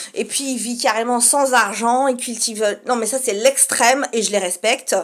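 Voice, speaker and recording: Noticeable background noise runs behind a woman with a high pitch. She talks at a moderate pace with fairly even intonation. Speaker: vlogger. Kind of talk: casual monologue. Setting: home studio apartment. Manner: speaking softly.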